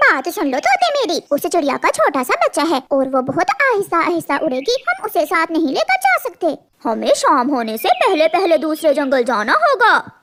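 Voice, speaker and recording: Extremely high pitch in a cartoonish character voice, moving at a moderate pace. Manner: harsh, commanding.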